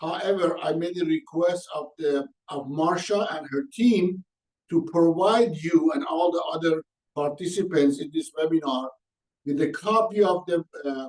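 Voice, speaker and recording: The speaker moves at a fairly slow pace with ordinary pitch variation. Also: man, high pitch for a man. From Iran. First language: Persian. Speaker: organizational coach and consultant. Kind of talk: webinar presentation. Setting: online webinar.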